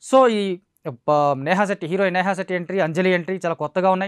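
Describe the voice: Speaking at a fast pace, a man with a high pitch for a man uses ordinary pitch variation in a clear, smooth tone.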